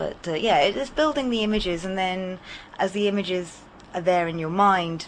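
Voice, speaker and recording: A woman speaks with a southern English accent. Her pace is moderate and her pitch variation ordinary. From Hampshire, southern England. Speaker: storyteller. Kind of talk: radio interview; storytelling. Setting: radio studio.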